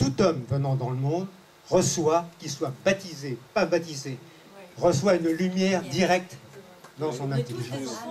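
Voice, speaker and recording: Over noticeable background noise, a man with a fairly high pitch talks at a fairly slow pace, leaving long, frequent pauses. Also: ordinary pitch variation, big swings in loudness. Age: 70s. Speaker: audience member. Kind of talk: audience comment in Q&A session. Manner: halting, with many restarts.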